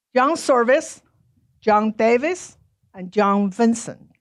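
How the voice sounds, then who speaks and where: Speaking at a fairly slow pace with a Chinese accent, a woman has a fairly high pitch and lively intonation. The recording is very clean, with a silent background. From China. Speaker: author and speaker. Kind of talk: public lecture.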